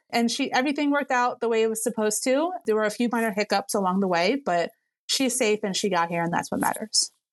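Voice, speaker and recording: Very fast speech in an American accent, with lively intonation, very even loudness, and a dry, close sound with no echo against a quiet background. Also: woman, fairly high pitch for a woman. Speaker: destination wedding photographer. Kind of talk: interview. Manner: animated.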